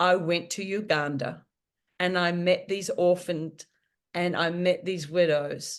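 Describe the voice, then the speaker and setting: Against a quiet background, a woman with a New Zealand accent talks at a very slow pace in a fairly low pitch, her intonation flat and monotone. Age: 60s. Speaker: author. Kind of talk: podcast interview answer.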